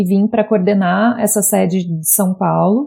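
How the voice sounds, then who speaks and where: This voice has a dark, mellow tone and a somewhat breathy quality, moving at a moderate pace with fairly even intonation. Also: woman. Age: 30s. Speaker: advertising professional. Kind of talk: interview about personal experience.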